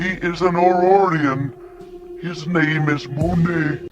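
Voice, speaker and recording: Against clear background noise, a man uses a put-on character voice at a high pitch and a fairly slow pace. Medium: audio drama. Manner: formal, measured.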